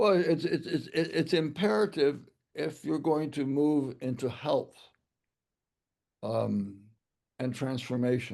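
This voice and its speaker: A man speaks at a very slow pace with long, frequent pauses. His fairly high voice carries vocal fry. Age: 80s+. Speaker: author and mission leader. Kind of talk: interview conversation. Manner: halting, many repetitions.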